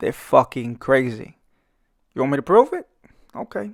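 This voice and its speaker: In a Brooklyn accent, a man talks at a moderate pace with lively intonation. The sound is dry and close with no echo, in a very clean recording with a silent background. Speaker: artist and YouTuber. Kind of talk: comedic commentary over speedpaint. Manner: animated.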